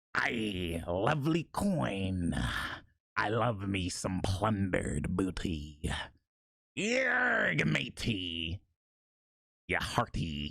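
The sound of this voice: Using a put-on character voice with very deep, low pitch, a man talks at a very slow pace with long, frequent pauses.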